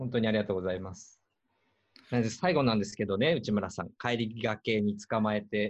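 A normal speaking voice comes at a fairly quick pace, with ordinary pitch variation and big swings in loudness. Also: man, fairly low pitch for a man. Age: 50s. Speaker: podcast host and organizer. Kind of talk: casual chat.

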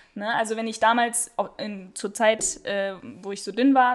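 Against a quiet background, a woman speaks. Her pitch is fairly high, with ordinary variation. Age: 20s. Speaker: speech therapist. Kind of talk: casual chat. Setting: studio.

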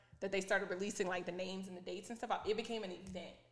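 Audible room echo surrounds the medium-pitched voice of a woman. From moved around with Air Force family. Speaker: podcast co-host. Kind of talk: casual chat. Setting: in person, sitting across from co-host. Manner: animated.

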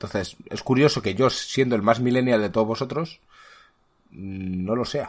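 At a moderate pace, an unremarkable speaking voice shows ordinary pitch variation. Nothing much is heard in the quiet background. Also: man. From Spain. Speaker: podcast host. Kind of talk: casual chat.

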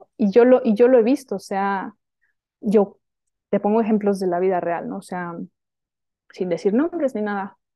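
Her pitch is medium and her pace moderate. The woman's loudness swings a lot, and she pauses long and often. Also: ordinary pitch variation. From Sonora, northern Mexico (Hermosillo). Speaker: women's spiritual teacher. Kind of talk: casual interview chat.

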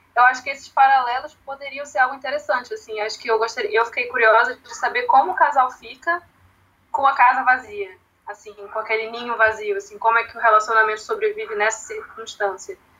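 A woman's high voice with ordinary pitch variation and big swings in loudness. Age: 20s. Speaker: literature educator, founder of a language school project. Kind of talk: casual chat.

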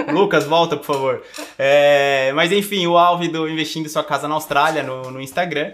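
A plain, everyday voice speaks with fairly even intonation at a moderate pace. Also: man, fairly high pitch for a man. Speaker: podcast co-host. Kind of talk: casual chat. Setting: recording in Bonito, Brazil.

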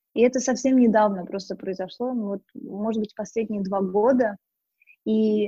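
Dry and close with no echo, a woman's somewhat breathy voice sits at a fairly high pitch, with ordinary pitch variation and a fairly slow pace. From Russia, Moscow region. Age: 20s. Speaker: lifestyle blogger. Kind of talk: casual interview chat. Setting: online call.

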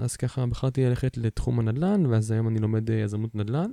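With a dark, mellow tone, a man talks fairly quickly over a quiet background. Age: 20s. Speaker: podcast host. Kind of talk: casual monologue. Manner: hesitant, many fillers.

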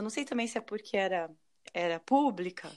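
A woman with a plain, everyday voice, fairly high in pitch, talking at a fairly quick pace on a very clean recording with a silent background. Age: 30s. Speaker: medical student, former pharmacist. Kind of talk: casual chat.

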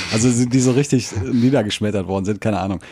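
The voice has a dark, mellow tone, moves at a fairly quick pace, and shows ordinary pitch variation. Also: man. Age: 30s. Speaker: podcast co-host. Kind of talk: casual chat. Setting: home recording.

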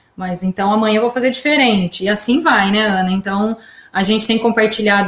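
Her voice is somewhat breathy, at a fairly high pitch. The woman keeps a moderate pace. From Brazil, São Carlos. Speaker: podcast host, journalist. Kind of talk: casual chat.

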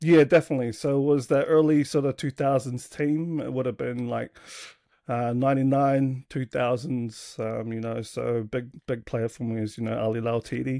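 A man speaks at a moderate pace with an Australian accent. His tone is dark and mellow, and the sound is dry and close with no echo. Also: medium pitch for a man, fairly even intonation, very clean recording, silent background. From Australia, south Sydney. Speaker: rugby league fan, podcast guest. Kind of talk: casual chat.

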